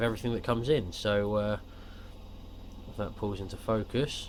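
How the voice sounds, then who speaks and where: Fairly low-pitched and fairly even in intonation, a man with a British accent talks at a fairly quick pace. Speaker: action camera reviewer. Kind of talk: casual unboxing talk to camera.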